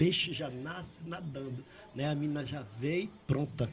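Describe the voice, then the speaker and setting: A man talks while noticeable noise sounds in the background. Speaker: poet and painter. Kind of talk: interview storytelling. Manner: halting.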